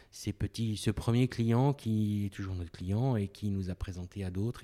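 This man's tone is dark and mellow, his pitch fairly low. He speaks at a fairly slow pace. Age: 50s. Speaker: business owner. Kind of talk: interview.

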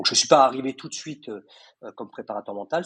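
A man speaks with a dry, close sound and no echo. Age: 50s. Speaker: mental coach for athletes. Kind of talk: interview. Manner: hesitant, repeats words.

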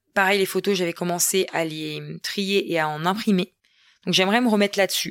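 A woman's medium-pitched voice at a moderate pace with fairly even intonation, in a very clean recording with a silent background. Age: 30s. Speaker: podcaster, entrepreneur and mother. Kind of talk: casual solo podcast monologue. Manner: chatty with laughs and hesitations.

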